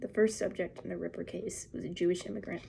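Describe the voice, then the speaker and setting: A soft-spoken woman with a dark, mellow tone and vocal fry talks at a fairly quick pace. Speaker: ASMR creator. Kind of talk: ASMR magazine reading.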